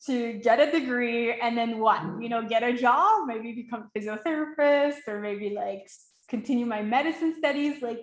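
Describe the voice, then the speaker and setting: A woman's fairly high voice in a Quebec accent, at a moderate pace with ordinary pitch variation. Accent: Quebecois French-accented English. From Quebec, Montreal. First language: French. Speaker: life coach. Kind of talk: webinar masterclass. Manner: animated.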